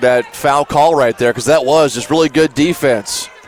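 A man speaks at a moderate pace with a fairly high pitch. His intonation stays fairly even over noticeable background noise. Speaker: radio color commentator. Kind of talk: sports analysis, color commentary. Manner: conversational, measured analysis.

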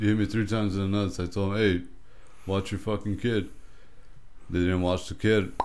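A man's fairly low voice, monotone and flat, at a fairly quick pace with long, frequent pauses. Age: 30s. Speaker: podcast co-host. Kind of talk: casual chat.

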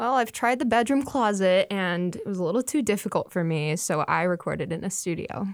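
On a very clean recording with a silent background, a woman with an unremarkable speaking voice talks at a medium pitch and a fairly quick pace, with lively intonation and hardly any pauses. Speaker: student musician. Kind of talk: casual interview. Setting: studio.

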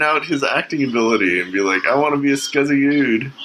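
A man speaks with a fairly high pitch. Noticeable background noise runs under his voice. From Canada. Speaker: podcast host. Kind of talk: casual chat. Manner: halting.

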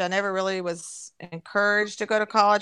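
A woman with a Kentucky accent speaks at medium pitch with ordinary pitch variation. Her tone is bright and sharp, and the background is quiet. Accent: Kentucky Southern US. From Kentucky, Louisville area. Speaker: host's mother. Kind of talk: casual family interview, reminiscing.

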